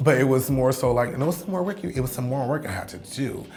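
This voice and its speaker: Music plays behind a woman whose very deep, low voice moves at a fairly quick pace with lively intonation. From San Francisco. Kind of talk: personal storytelling interview. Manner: candid, conversational.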